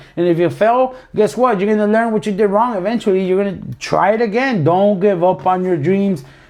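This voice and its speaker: With an American accent, a man speaks at a fairly quick pace with hardly any pauses, his high voice showing ordinary pitch variation and very even loudness. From US, Florida (Palm Beach). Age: 30s. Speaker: podcast co-host, roofing contractor. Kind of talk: casual chat. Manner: halting, repeats words; animated.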